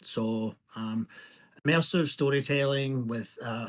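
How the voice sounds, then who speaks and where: Here a man talks with a Scottish accent. His intonation stays fairly even. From Scotland. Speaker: indie game developer. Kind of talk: self-introduction in workshop. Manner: hesitant, many fillers.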